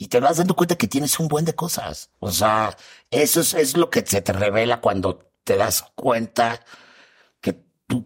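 A man with a Mexican accent and lively intonation, in a dry, close sound with no echo. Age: 40s. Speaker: comedian and actor. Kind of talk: casual chat.

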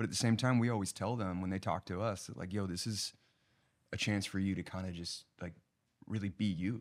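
An unremarkable speaking voice from a man with an American accent, fairly low in pitch, fairly quick and fairly even in intonation, on a very clean recording with a silent background. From Los Angeles, US. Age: 30s. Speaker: TV writer-producer, former college football player. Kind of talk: casual chat.

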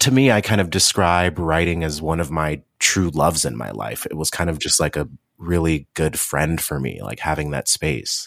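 A man with an American accent speaks at a very deep, low pitch with vocal fry and hardly any pauses. The recording is very clean, with a silent background. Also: ordinary pitch variation, moderate pace. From Cleveland, Ohio, US Midwest. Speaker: memoir author and activist. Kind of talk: interview.

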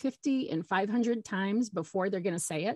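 A woman with an American accent and an unremarkable speaking voice talks at a fairly quick pace in a fairly high pitch with ordinary pitch variation, in a dry, close sound with no echo and a quiet background. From Michigan. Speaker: parent educator and social worker. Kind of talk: interview.

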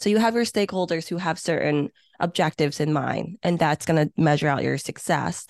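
The woman's pitch is fairly low, with ordinary variation. The sound is dry and close with no echo, over a quiet background. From born in Hong Kong, Chinese-Vietnamese refugee family, raised in US. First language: not English (English is third language). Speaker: senior meeting planner. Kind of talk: interview. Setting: remote recording, early morning.

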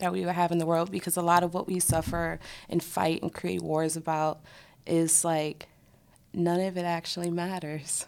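The recording is very clean, with a silent background. A woman at a fairly low pitch speaks in a flat monotone at a moderate pace. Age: 30s. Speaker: actress. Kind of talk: casual interview.

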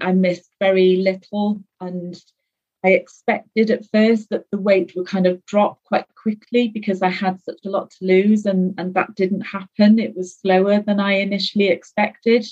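Somewhat breathy and with a British accent, a woman speaks at a medium pitch and moderate pace in a monotone, flat intonation. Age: 50s. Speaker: guest sharing weight-loss story. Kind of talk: casual interview.

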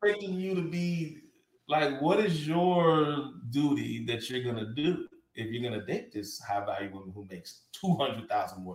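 A man speaks at a moderate pace with a fairly high pitch and a somewhat breathy sound. His pitch swings very widely and his loudness rises and falls sharply. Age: 40s. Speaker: podcast co-host. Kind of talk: casual chat.

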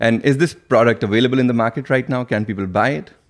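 A man with a medium pitch talks at a fast pace with ordinary pitch variation, on a very clean recording with a silent background.

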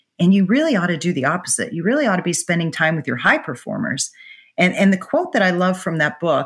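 Speaking with an American accent, a woman uses a plain, everyday voice, fairly low in pitch, with lively intonation. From Pittsburgh, Pennsylvania. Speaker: corporate procurement executive. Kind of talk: interview.

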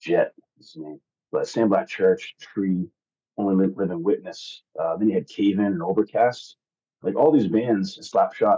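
Man with an American accent, fairly slow pace and big swings in loudness, in a dry, close sound with no echo. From Massachusetts, near Boston. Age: 40s. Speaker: metal band frontman. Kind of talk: casual interview.

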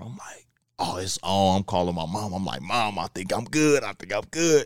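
Here is a plain, everyday voice from a man with a fairly low pitch. He talks at a fairly quick pace in a very clean recording with a silent background. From Kansas City. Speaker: former college football player, sports trainer. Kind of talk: casual interview.

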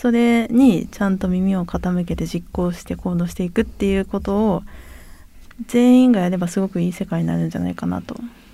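A woman talks at a fairly quick pace with a dark, mellow tone. Her pitch is medium, with ordinary variation. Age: 30s. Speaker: geneticist and startup founder. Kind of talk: interview conversation. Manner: calm, not loud; composed, even-toned.

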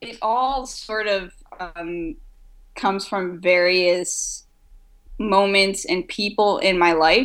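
A woman's medium-pitched voice at a very slow pace, with long, frequent pauses and big swings in loudness. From France. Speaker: comic book artist. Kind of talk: interview.

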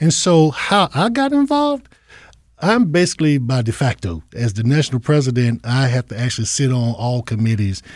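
A man with a North Carolina accent talks at a moderate pace and medium pitch with lively intonation. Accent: US Southern, North Carolina. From eastern North Carolina, Goldsboro. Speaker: alumni association president, retired Army veteran. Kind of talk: interview.

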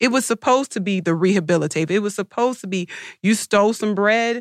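A woman with an unremarkable speaking voice and a medium pitch talks at a fairly quick pace. The recording is very clean and silent in the background, with a dry, close sound and no echo. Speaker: public defender advocate panelist. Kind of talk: panel discussion.

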